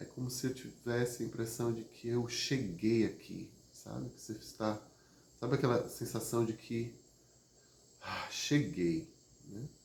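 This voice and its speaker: Calm, fairly slow speech with vocal fry, ordinary pitch variation, and long, frequent pauses. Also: man, medium pitch for a man. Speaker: therapist or emotional wellbeing teacher. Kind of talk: live stream talk on emotions. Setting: online live stream. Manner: conversational with frequent fillers; calm, prosodic after exercise.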